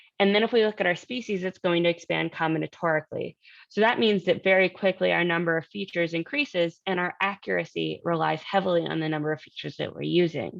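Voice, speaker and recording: A woman with fairly low pitch talks at a fairly quick pace, with a dry, close sound and no echo. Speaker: researcher giving workshop talk. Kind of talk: lecture. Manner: fast.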